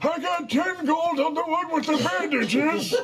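Over loud background noise, a man performs a put-on character voice at an extremely high pitch. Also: moderate pace. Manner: loud, hawking.

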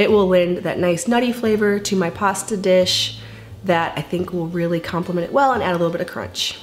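Faint music plays in the background while the voice keeps a fairly even intonation. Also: woman. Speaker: home cooking vlogger. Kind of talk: casual vlog chat with sponsor read. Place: kitchen.

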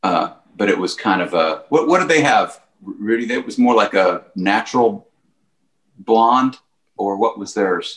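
A man speaks at a fairly slow pace. Audible room echo surrounds him against a quiet background. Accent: American. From Texas. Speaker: country musician. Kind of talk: casual chat. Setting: video call. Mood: enthusiastic, relaxed. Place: home room. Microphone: video call.

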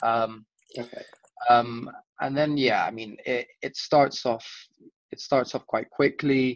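A man at a very slow pace with long, frequent pauses and big swings in loudness, in a dry sound with no echo over a quiet background. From Chile. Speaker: startup co-founder; guest. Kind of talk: interview. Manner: halting.

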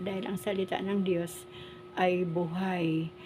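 Monotone, flat delivery from a woman at a medium pitch. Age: 60s. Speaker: vlogger. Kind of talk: casual vlog monologue. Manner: hesitant, frequent fillers.

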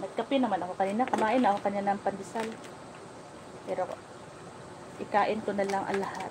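A woman's very fast speech broken by long, frequent pauses, with fairly even intonation and noticeable background noise. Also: medium pitch for a woman. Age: 40s. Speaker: lifestyle vlogger. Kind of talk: livestream chat. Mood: reflective, personal. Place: home room. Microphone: phone near.

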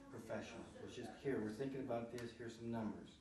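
Noticeable background noise and audible room echo surround a man as he speaks. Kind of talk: meeting discussion. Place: meeting room. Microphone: camera far.

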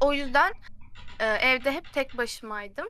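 A bright, sharp tone in a raised, projected voice, with lively intonation, a fairly slow pace and a dry sound free of echo. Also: woman. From Turkey. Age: 20s. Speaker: recent chemical engineering graduate; guest. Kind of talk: casual chat. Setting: video call. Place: home room.

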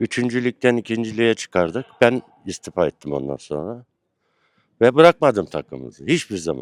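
The man's pitch is medium, with very wide swings. He talks at a moderate pace in a dry, close sound with no echo. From Turkey, Erzincan. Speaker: former football club executive, fan. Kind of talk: casual interview.

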